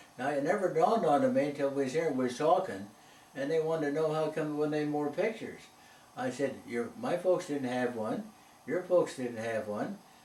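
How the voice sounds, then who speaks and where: A man with an American accent at a fairly quick pace, lively intonation, audible room echo and noticeable background noise. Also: fairly high pitch for a man. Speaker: elderly interviewee recalling town history. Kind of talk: reminiscing interview conversation. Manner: halting.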